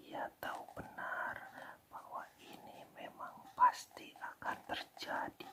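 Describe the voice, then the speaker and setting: Here a man is whispering. His pace is very slow. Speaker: ASMR storyteller. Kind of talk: read fairy tale. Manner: whispered.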